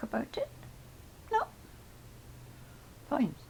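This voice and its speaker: A woman is speaking. She is whispering. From Scotland, Helensburgh near Glasgow. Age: 80s+. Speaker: grandmother interviewed about her life. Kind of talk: life-story interview. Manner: halting, with many fillers.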